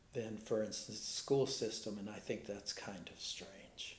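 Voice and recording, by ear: In an American accent, a man with a fairly low voice talks at a fairly slow pace and fairly even intonation, heavily echoed by the room.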